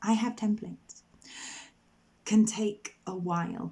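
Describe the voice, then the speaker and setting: This is a woman with a British accent. Her intonation is fairly even. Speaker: motherhood coach. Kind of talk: personal vlog update. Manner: slow, deliberate.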